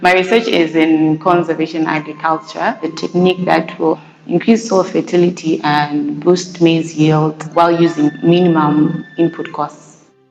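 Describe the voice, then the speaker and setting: A woman speaks at a fairly slow pace with hardly any pauses, her pitch fairly low and her intonation fairly even. Noticeable background noise runs underneath. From Zimbabwe, Mutare. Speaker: graduate student researcher. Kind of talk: interview testimony.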